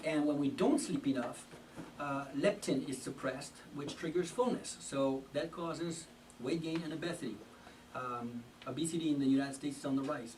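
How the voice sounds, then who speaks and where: Over noticeable background noise and audible room echo, a man with a French accent speaks at a moderate pace, with a fairly high pitch and ordinary pitch variation. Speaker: health lecturer. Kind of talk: health talk. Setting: church hall with audience. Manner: halting, many fillers.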